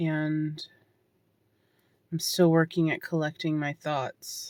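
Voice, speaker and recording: Her very deep, low voice keeps a fairly even intonation, with a dry, close sound free of echo in a very clean recording with a silent background. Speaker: hiker vlogger. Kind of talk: reflective vlog monologue. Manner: loud.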